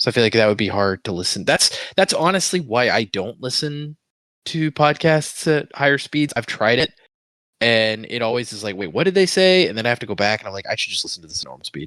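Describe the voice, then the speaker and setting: Talking at a fairly quick pace, a man swings widely in both pitch and loudness, captured in a dry, close, echo-free recording that is very clean with a silent background. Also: medium pitch for a man. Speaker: book podcast co-host. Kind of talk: casual chat.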